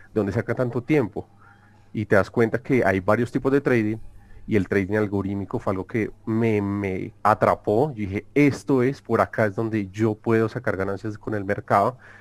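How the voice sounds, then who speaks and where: Intonation stays fairly even as a man speaks. The recording is very clean, with a silent background. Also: fairly low pitch for a man, moderate pace. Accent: Colombian. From Colombia. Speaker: algorithmic trader. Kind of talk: interview.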